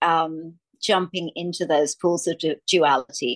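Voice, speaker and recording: A woman speaks very slowly in an Australian accent. The sound is dry and close with no echo, over a quiet background. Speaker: podcast host. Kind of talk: interview conversation. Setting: video call.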